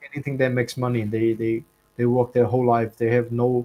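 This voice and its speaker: A man with a Chinese accent speaks at a fairly quick pace. Music plays in the background. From China. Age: 20s. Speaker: content creator. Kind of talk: casual interview chat. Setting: live stream. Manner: casual, filler-heavy.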